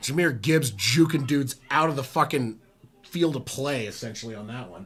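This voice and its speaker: A man speaks at a medium pitch with vocal fry. His pace is moderate. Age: 40s. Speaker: sports streamer doing live play-by-play. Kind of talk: live play-by-play commentary. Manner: animated.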